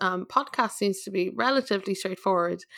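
Talking at a fairly quick pace, a woman has a plain, everyday voice at medium pitch with ordinary pitch variation. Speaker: podcast host. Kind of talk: casual chat.

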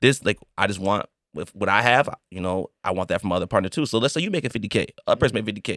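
In a very clean recording with a silent background, a man with a fairly low pitch speaks at a very fast pace with lively intonation. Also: dry, close sound with no echo. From US suburbs. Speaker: podcast host. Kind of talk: casual chat.

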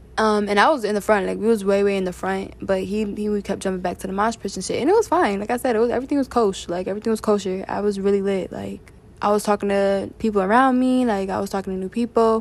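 Very fast and with hardly any pauses, a woman speaks with fairly even intonation. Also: medium pitch for a woman. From Philadelphia and New Jersey. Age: 20s. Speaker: solo podcaster. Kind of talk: personal monologue. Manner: casual, rambling.

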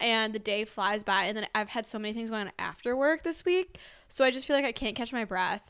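Lively intonation and a fairly quick pace mark an unremarkable speaking voice, captured in a very clean recording with a silent background. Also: woman, fairly high pitch for a woman. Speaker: podcast co-host. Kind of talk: casual chat.

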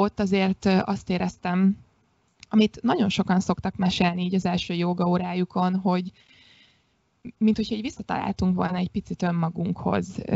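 Her intonation is monotone and flat, and her voice is somewhat breathy at a medium pitch. The woman keeps a moderate pace. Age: 30s. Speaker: yoga instructor. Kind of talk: casual chat.

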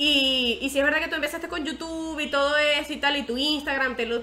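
A woman with a Venezuelan accent talks at a fairly quick pace in a raised, projected voice. Her pitch is high, and background noise is noticeable. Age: 20s. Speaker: podcast host. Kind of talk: casual chat.

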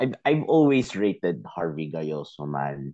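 A man with a Filipino accent speaks at a fairly slow pace in a dark, mellow tone. His pitch swings very widely. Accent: Filipino English, Taglish code-switching. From Philippines. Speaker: football podcast guest. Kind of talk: casual chat.

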